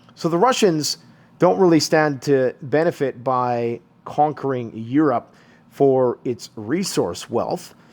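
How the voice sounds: A man speaks slowly at a medium pitch, with ordinary pitch variation. His tone is slightly mellow.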